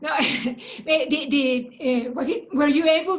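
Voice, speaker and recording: A woman's high pitch, ordinary pitch variation and very slow pace. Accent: Spanish. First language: Spanish. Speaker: workshop facilitator. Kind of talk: group discussion. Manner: halting, many fillers and repetitions.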